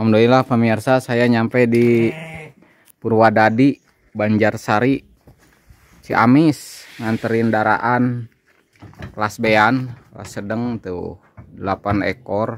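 A man talks at a very slow pace with long, frequent pauses and monotone, flat intonation. His loudness swings widely. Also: medium pitch for a man. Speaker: sheep breeder and video host. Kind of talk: casual on-location vlog chat.

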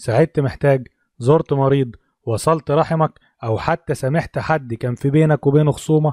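A man with an Egyptian accent speaks at a moderate pace in a fairly high, dark and mellow voice with fairly even intonation. The recording is very clean, dry and close, with no echo and a silent background. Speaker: tech YouTuber. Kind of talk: tutorial; casual chat.

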